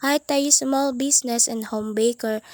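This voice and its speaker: At a moderate pace, a woman speaks with a high pitch and ordinary pitch variation. The sound is dry and close, with no echo. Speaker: vlogger and home baker. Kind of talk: casual vlog narration. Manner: talkative.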